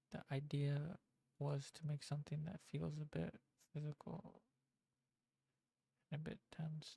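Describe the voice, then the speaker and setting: Soft-spoken, the speaker goes at a fairly slow pace with long, frequent pauses. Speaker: game developer streamer. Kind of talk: casual live-stream commentary. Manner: halting. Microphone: mic turned up, quiet level.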